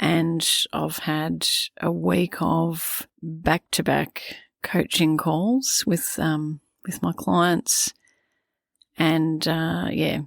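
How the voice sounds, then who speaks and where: Very slow speech with an Australian accent and long, frequent pauses, in a dry, close sound with no echo and a very clean recording with a silent background. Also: woman. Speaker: parenting coach. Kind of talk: podcast monologue.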